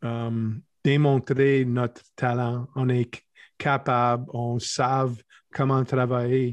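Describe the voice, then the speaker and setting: With a flat, monotone delivery, a man in an English accent speaks at a very slow pace. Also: medium pitch for a man. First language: English (speaking French). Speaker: athletic therapist and strength coach. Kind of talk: interview. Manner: halting.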